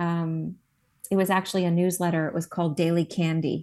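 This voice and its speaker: Against a quiet background, a woman speaks at a moderate pace with a fairly low pitch. Her intonation is monotone and flat. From New Jersey. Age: 50s. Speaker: esthetician and skincare founder. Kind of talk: interview. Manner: casual, many fillers.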